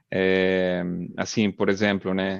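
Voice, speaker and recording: A man with a non-native accent speaks in a fairly low, monotone, flat voice. The sound is dry and close with no echo, and the background is quiet. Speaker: oil and gas drilling engineer. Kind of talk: webinar talk. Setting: live video webinar. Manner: hesitant, many fillers.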